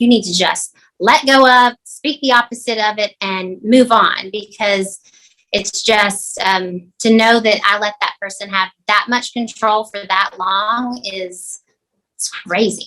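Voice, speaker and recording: In a Southern US accent, a woman speaks at a very slow pace. Her tone is bright and sharp, with fairly even intonation. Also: fairly high pitch for a woman. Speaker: real estate agent. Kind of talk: podcast interview.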